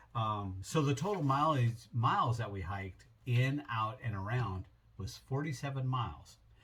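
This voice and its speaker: With lively intonation, a man speaks at a medium pitch in an ordinary speaking voice. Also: moderate pace. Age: 60s. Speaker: travel vlogger. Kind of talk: casual trip recap. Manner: relaxed, with many fillers.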